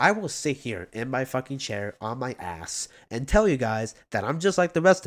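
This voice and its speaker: On a very clean recording with a silent background, a man with a medium pitch and vocal fry speaks at a moderate pace with hardly any pauses, his pitch swinging very widely and his loudness shifting a great deal. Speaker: YouTuber. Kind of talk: casual chat. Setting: at home, seated. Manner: halting.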